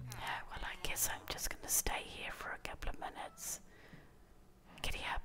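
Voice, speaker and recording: A woman whispers at a moderate pace. She leaves long pauses, and often. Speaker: ASMR YouTuber. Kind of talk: ASMR gameplay commentary. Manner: whispered. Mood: playful, amused, slightly unsure. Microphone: studio mic.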